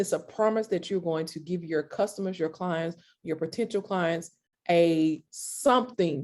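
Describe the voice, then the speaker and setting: A woman with a slight country accent talks at a moderate pace in a fairly low pitch with ordinary pitch variation. The recording is very clean and the background silent. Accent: slight country twang. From US South, Mississippi. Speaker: creative consultant, entrepreneur. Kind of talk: interview.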